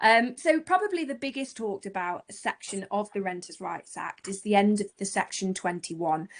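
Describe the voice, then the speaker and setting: A woman talks at a moderate pace and a medium pitch. It is an ordinary speaking voice. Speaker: letting agent. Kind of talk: presentation.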